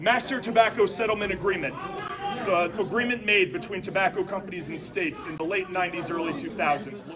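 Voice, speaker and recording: Amid noticeable background noise, a man speaks at a very fast pace. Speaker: consumer advocate. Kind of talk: interview answer. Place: meeting room.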